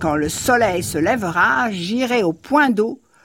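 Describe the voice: Lively intonation over plain reading aloud.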